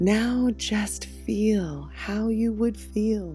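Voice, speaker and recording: A woman speaks with music in the background. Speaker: meditation guide. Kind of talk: guided meditation. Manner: soft-spoken.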